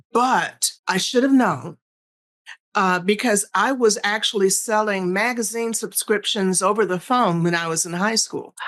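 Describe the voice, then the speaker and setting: The woman here has a plain, everyday voice at medium pitch with ordinary pitch variation. She speaks at a fairly slow pace over a quiet background. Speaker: sales strategist and speaker. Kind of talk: interview.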